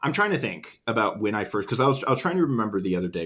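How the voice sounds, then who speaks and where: A man talks with lively intonation in a very clean recording over a silent background. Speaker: podcast host. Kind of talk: casual chat. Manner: trails off, voice drops at sentence ends; halting, many fillers.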